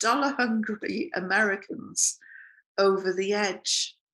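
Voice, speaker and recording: The speech comes very slowly in a British accent. The background is quiet. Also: woman. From Britain. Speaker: journalist. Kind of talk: political commentary. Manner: casual, humorous.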